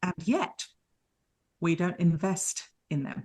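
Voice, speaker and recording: A woman with a British accent speaks against a quiet background. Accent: UK. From United Kingdom. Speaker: leadership mentor. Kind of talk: podcast interview.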